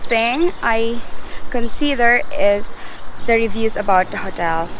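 The recording has a dry sound with no echo, though noticeable background noise can be heard. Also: woman. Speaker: travel vlogger. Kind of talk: casual vlog chat. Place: street. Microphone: phone near.

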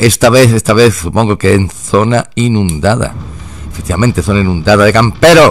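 Over noticeable background noise, a man speaks at a moderate pace and very even loudness, with a fairly low pitch and ordinary pitch variation. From Andalusia. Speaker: gamer. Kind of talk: gameplay commentary. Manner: casual.

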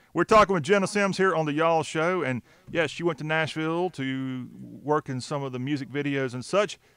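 Someone talks at a fairly quick pace with an American accent. Pitch variation is ordinary, and the sound is dry with no echo. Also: man, fairly high pitch for a man. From US South. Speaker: show host. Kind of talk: casual interview. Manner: jokey, laughs often. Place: studio. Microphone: studio mic.

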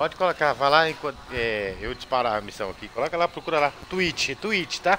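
A man speaks at a moderate pace with hardly any pauses, his pitch fairly high and his tone animated. His intonation is lively, and there's noticeable background noise. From Brazil, Minas Gerais (Belo Horizonte). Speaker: gaming streamer. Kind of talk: live gameplay commentary.

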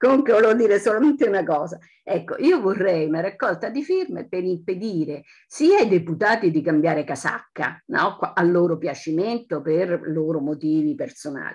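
Pitch swings very widely at a moderate pace. The background stays quiet. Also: woman. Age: 60s. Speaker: audience member at a lecture. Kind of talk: audience comment in lecture Q&A. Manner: halting, with many fillers and restarts; impassioned. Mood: concerned, earnest. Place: home room. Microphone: video call.

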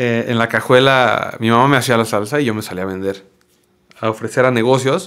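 A man with an unremarkable speaking voice talks at a fairly quick pace and a medium pitch, with ordinary pitch variation against a quiet background. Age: 30s. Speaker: actor, voice actor and former band singer; actor, voice actor. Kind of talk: interview conversation. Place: studio. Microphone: studio mic.

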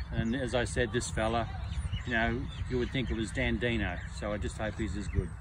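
A man speaks at a fairly quick pace. The sound is dry with no echo, and there is noticeable background noise. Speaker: horse breeder and owner. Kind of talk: casual promo interview. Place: open country.

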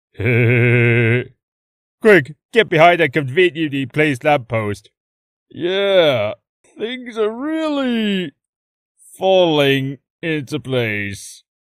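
A put-on character voice from a man, fairly high in pitch, delivered at a very slow pace. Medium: voice reel. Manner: relaxed, casual.

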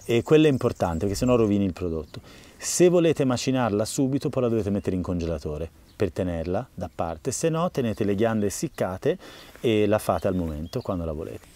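Talking at a very fast pace, a man with a fairly low pitch and a dark, mellow tone swings very widely in pitch, the sound dry with no echo. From grew up abroad in Oman as a child. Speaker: farmer. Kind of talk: guided farm tour. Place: open country.

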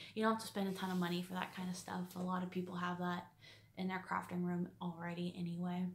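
A somewhat breathy woman with fairly low pitch speaks at a very fast pace in a monotone, flat intonation. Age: 20s. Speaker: quilting vlogger; quilting hobbyist vlogger. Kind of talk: casual vlog monologue; casual vlog chat. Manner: hesitant, many fillers. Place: home room. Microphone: phone near.

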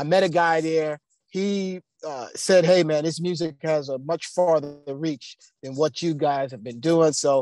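Music plays behind a man who speaks at a moderate pace, the sound dry with no echo. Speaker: remote guest. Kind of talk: interview answer. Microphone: earbuds.

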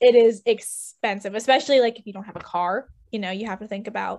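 A woman with an American accent at a fairly quick pace and fairly high pitch, intonation fairly even, against a quiet background. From western Pennsylvania. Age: 18. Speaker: actress and filmmaker. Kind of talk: interview. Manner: casual, hesitant with fillers.

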